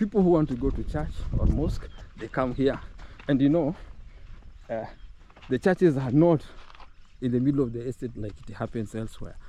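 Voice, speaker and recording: Speaking with a Kenyan accent, a man with a medium pitch and dark, mellow tone moves at a fairly quick pace with lively intonation, yet takes long, frequent pauses. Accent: Kenyan English with Luhya. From Kenya, Luhya. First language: Luhya. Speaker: travel vlogger. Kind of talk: walking tour vlog. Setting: outdoors. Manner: conversational, animated.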